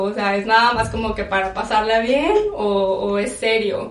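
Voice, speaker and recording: Noticeable background noise mixed with audible echo from the room. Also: woman. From Mexico. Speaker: podcast guest. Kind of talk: casual chat.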